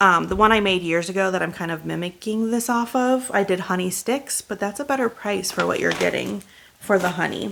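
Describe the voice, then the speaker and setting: An animated woman at a medium pitch and fairly quick pace, with ordinary pitch variation. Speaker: YouTuber doing shopping hauls. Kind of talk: casual haul video monologue. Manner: fast; chatty, animated.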